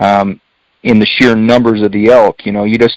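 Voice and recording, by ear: A man speaks at a moderate pace with little pitch movement, recorded in a dry, close sound with no echo.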